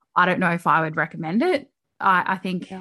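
Against a quiet background, a woman with a fairly low pitch talks at a fairly quick pace in an ordinary speaking voice. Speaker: podcast co-host. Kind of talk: casual chat. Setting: recording from bedroom at home.

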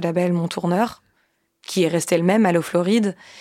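Intonation stays fairly even as the voice moves at a moderate pace with a dark, mellow tone. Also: woman, very clean recording, silent background. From France, Nantes. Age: 20s. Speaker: musician. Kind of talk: casual chat.

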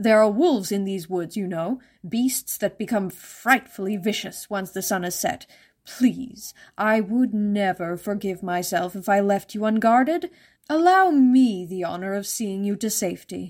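In a very clean recording with a silent background, a female-sounding voice at medium pitch does a put-on character voice at a moderate pace. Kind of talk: fairytale reading. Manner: falsely courteous, concerned.

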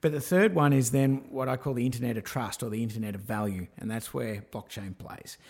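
The words come out fairly quickly. An Australian accent is heard. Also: man, medium pitch for a man, ordinary pitch variation, hardly any pauses. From Australia, rural Victoria (Swan Hill). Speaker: digital marketing and tech entrepreneur. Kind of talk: interview.

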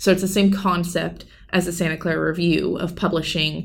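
Monotone and flat in intonation, a woman speaks with vocal fry. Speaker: college student and poet. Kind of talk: casual interview. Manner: halting.

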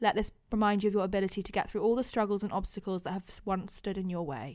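A woman talks at a very fast pace. Her voice sits at a medium pitch. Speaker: podcast co-host. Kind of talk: casual chat.

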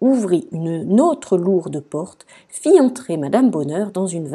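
Intonation rises and falls in a lively way. The voice reads naturally.

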